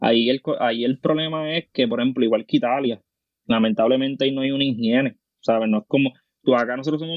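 Speaking very fast with a Puerto Rican accent, a man keeps a medium pitch and fairly even intonation. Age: 20s. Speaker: nurse and teacher. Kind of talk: casual chat.

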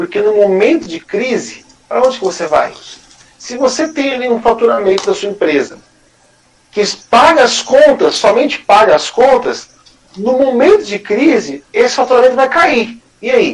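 At a moderate pace, a man speaks in an extremely high pitch with very wide pitch swings. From Greater São Paulo, Brazil. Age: 30s. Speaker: small business owner. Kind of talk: casual interview.

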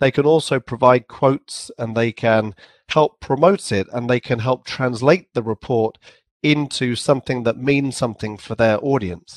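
A medium-pitched man at a moderate pace with ordinary pitch variation, in a dry, close sound with no echo. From England. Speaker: company CEO. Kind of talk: casual interview.

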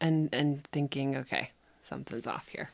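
A woman with an American accent speaks at a very deep, low pitch in a relaxed tone with fairly even intonation. The recording is very clean, with a silent background. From US Upper Midwest, Minneapolis. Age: 30s. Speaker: Kundalini yoga teacher. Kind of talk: casual interview conversation. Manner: relaxed, frequent fillers and laughter.

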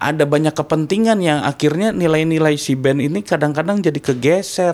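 Here is a man with an unremarkable speaking voice. His fairly high pitch moves with lively intonation. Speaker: metal musician. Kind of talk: casual interview chat.

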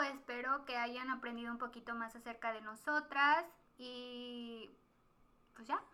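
A woman's raised, projected voice, high-pitched with a bright, sharp tone, at a fairly slow pace with big swings in loudness. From Mexico, Guanajuato. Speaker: podcast co-host. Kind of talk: casual chat.

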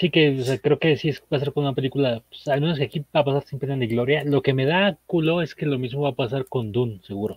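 A man with a Mexican accent talks at a very fast pace, with hardly any pauses. His voice is fairly high and somewhat breathy, with ordinary pitch variation. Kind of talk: casual chat. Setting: live stream.

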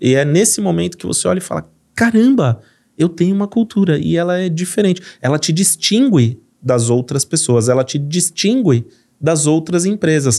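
A man with a São Paulo accent speaks at a fairly high pitch in a dark, mellow tone. His pitch swings very widely. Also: moderate pace. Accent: paulista. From São Paulo, Brazil. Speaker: company CEO. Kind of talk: business podcast conversation.

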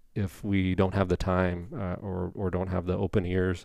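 Someone with an American accent speaks against a quiet background. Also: man. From Indiana. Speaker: family physician. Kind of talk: interview.

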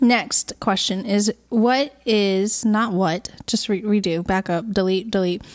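Speaking very slowly with hardly any pauses, a woman holds a medium pitch, fairly even intonation and very even loudness. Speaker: podcast co-host, singer-songwriter. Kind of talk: casual chat, Q&A episode. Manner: playful, chatty.

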